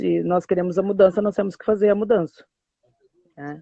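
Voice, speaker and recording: A woman's voice with a dark, mellow tone sounds dry and close with no echo. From southern Brazil, Porto Alegre. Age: 30s. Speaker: community activist and pedagogy student. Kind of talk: live stream interview. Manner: hesitant, many fillers.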